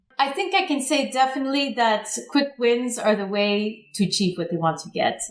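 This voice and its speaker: A woman with an American accent talks at a moderate pace and high pitch. Her pitch swings very widely over noticeable background noise. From United States. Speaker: public affairs consultant. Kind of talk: interview.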